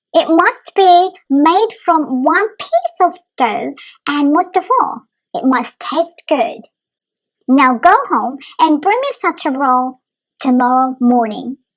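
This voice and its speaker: A woman puts on a character voice at an extremely high pitch. Her pitch swings very widely as she talks at a fairly slow pace. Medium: read story. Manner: commanding, formal.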